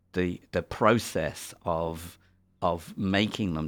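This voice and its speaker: The speaker has an English accent. Their intonation stays fairly even. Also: man. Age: 60s. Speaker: makeup effects designer. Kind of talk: audio commentary. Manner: halting.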